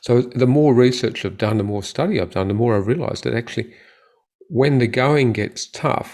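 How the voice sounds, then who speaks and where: The recording is very clean and the background silent. A man speaks in an Australian accent. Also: medium pitch for a man, ordinary pitch variation, moderate pace. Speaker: orthopedic surgeon. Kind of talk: interview.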